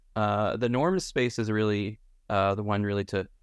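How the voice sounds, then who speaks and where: A man speaks at a moderate pace in a fairly low pitch, with ordinary pitch variation over a quiet background. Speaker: research institute executive director. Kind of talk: moderated debate discussion. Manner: hesitant, many fillers.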